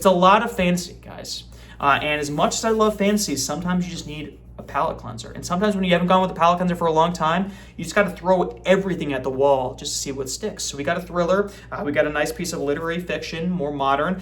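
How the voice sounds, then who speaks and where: Amid noticeable background noise and audible room echo, a man with a high pitch talks at a very fast pace with hardly any pauses, ordinary pitch variation and big swings in loudness. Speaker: book vlogger. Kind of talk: casual chat.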